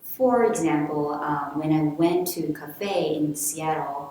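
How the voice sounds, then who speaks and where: A woman with a Japanese accent speaks at a very deep, low pitch with ordinary pitch variation, with audible room echo and noticeable background noise. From Japan (Kanagawa and Tokyo). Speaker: manga artist. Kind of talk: personal narration. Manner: halting.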